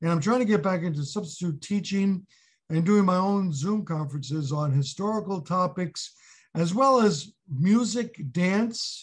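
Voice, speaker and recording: A man with a New York accent talks at high pitch and a moderate pace. His pitch varies in an ordinary way against a quiet background. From New York City (Brooklyn). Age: 70s. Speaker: retired history teacher. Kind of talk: interview.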